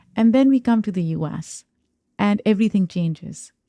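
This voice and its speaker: In a Pakistani accent, a woman speaks with a dark, mellow tone at medium pitch, the sound dry and close with no echo. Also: very clean recording, silent background. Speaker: podcast host. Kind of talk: interview conversation.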